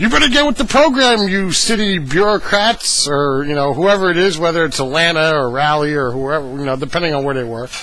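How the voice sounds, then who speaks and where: Over noticeable background noise and audible room echo, a man with fairly high pitch speaks at a moderate pace. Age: 30s. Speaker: video blogger. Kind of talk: casual monologue. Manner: hesitant, many fillers.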